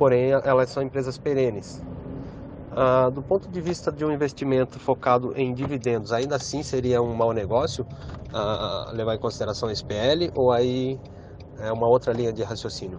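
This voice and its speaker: Noticeable background noise beneath a man's medium-pitched voice, moderate in pace, with ordinary pitch variation. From Brazil, interior of São Paulo state. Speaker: listener asking a question. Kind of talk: recorded listener voice question. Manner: halting, many filler sounds.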